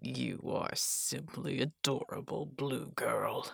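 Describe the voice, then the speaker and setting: A put-on character voice, growling and raspy, at a very slow pace. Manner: menacing, chilling.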